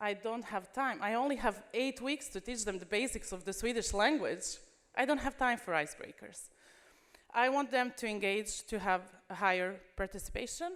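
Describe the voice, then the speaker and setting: This woman's voice is fairly high, with a non-native accent and lively intonation. She speaks at a moderate pace. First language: not English. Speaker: language teacher. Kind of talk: conference presentation.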